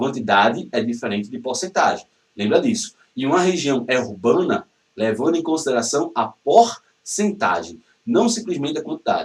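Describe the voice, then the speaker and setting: Vocal fry with very wide pitch swings. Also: man, fairly high pitch for a man. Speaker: geography teacher. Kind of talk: lecture. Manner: fast; animated.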